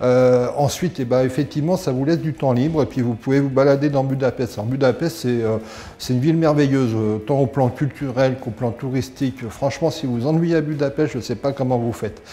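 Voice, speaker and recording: At a fairly quick pace, a man of medium pitch speaks with fairly even intonation amid noticeable background noise. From France, near Geneva. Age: 60s. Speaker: dental patient. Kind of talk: testimonial. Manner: halting, many hesitations.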